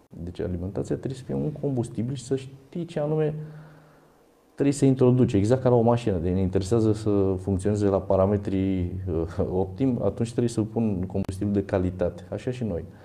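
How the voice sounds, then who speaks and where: A man speaks with lively intonation in a dark, mellow tone that is somewhat breathy. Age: 50s. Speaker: fitness athlete and university lecturer. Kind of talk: interview.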